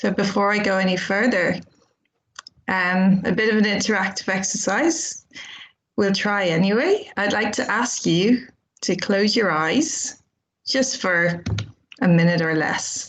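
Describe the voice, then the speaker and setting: This woman has an Irish accent and a medium pitch with ordinary pitch variation. She talks at a fairly slow pace with long, frequent pauses. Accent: Irish, kept after years in England. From Ireland, Dublin. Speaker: charity development officer. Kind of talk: conference presentation. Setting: video call.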